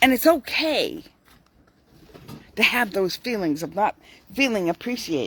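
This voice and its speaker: A woman talks at a fairly slow pace with vocal fry, a fairly high pitch, very wide pitch swings, and long, frequent pauses. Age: 60s. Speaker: vlogger giving daily life and faith tips. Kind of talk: casual talk to camera with Bible reflection. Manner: occasionally slurred words.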